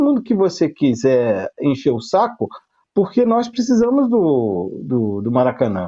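Against a quiet background, a man with a fairly high voice and a dark, mellow tone speaks at a fairly slow pace with very wide pitch swings. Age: 50s. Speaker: sales representative, football fan panelist. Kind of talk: casual chat.

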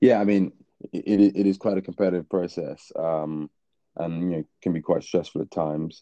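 With a London accent, a man speaks at a moderate pace. His pitch is very deep and low, his intonation fairly even. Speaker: MBA student. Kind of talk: casual interview.

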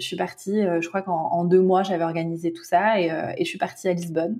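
A woman with a dark, mellow tone and a somewhat breathy voice talks at a fairly quick pace and a medium pitch. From France. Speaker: spiritual guide and tarot reader. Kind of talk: interview.

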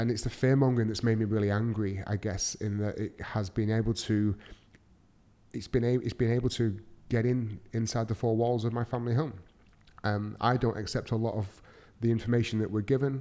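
In a very clean recording with a silent background, a man with a Mancunian accent talks at a fairly quick pace. His pitch is medium and his tone dark and mellow, with monotone, flat intonation. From Manchester, England. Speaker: podcast host, entrepreneur. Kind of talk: solo podcast monologue.

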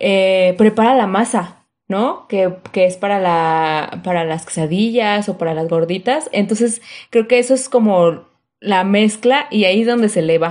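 A woman's ordinary speaking voice at medium pitch and a fairly slow pace, with ordinary pitch variation over a quiet background. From Mexico City. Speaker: podcast guest. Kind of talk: casual educational chat.

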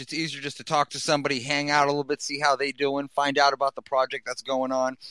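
The voice has a bright, sharp tone and a Boston accent. The recording is very clean, with a silent background and a dry, close sound with no echo. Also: man. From US Northeast, Boston. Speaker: podcast host. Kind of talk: casual chat. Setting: gaming headset. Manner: animated.

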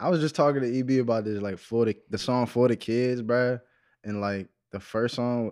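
In a quiet background, a man's speech unfolds at a moderate pace. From Waldorf, Maryland (DC area). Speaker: rapper and singer. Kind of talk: casual chat.

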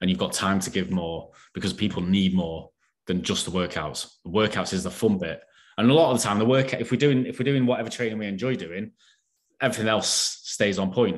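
A man with a northern English accent talks at a fairly quick pace in a fairly low pitch. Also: ordinary pitch variation. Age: 40s. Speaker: online fitness coach. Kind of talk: casual chat.

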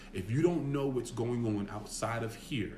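A man speaks at a moderate pace with a medium pitch and ordinary pitch variation, and audible room echo surrounds his voice. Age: 30s. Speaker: former basketball player. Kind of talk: casual chat.

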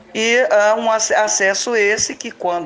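Very slow pace from a woman, ordinary pitch variation, noticeable background noise. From Belo Horizonte, Brazil. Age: 60s. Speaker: local resident and community activist. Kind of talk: testimony. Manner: halting, many fillers.

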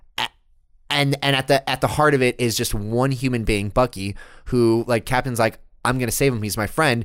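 The recording is very clean, and the background is silent. A man talks at a moderate pace in a medium pitch. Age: 20s. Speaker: podcast co-host. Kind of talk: casual chat. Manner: animated.

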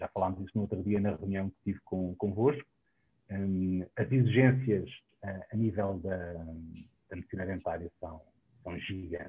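A man with a very deep, low voice talks at a moderate pace. His intonation stays fairly even, broken by long, frequent pauses. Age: 40s. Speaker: dentist. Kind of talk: online panel discussion.

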